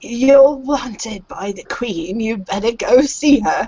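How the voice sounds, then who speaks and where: A put-on character voice, female-sounding and creaky, at a fairly high pitch and a fairly slow pace. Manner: sarcastic, impatient.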